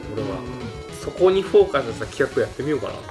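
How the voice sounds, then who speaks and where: A man speaks very fast while clear music plays behind him. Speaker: channel host, singer. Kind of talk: casual talk to camera. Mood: relaxed, hopeful. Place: home room.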